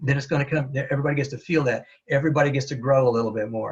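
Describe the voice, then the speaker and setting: Talking very fast, a man uses a fairly high pitch, somewhat breathy and with lively intonation. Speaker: Toastmasters speaker and presenter. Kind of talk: webinar presentation. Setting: webinar.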